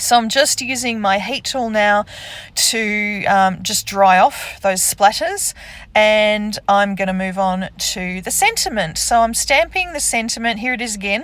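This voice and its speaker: A woman speaks with an Australian accent and a fairly high pitch. Her pace is fairly slow, with ordinary pitch variation. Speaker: card-making crafter. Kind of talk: crafting tutorial. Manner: casual, hesitant with ums.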